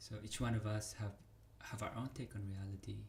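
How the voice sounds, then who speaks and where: This man talks at a moderate pace with a non-native accent. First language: not English. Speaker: vlogger. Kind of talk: casual monologue. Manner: halting.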